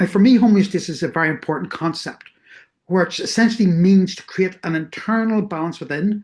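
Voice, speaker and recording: A woman's medium-pitched, somewhat breathy voice with a Northern Irish accent, a fairly quick pace, big swings in loudness, ordinary pitch variation, and a quiet background. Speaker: researcher. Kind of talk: lecture.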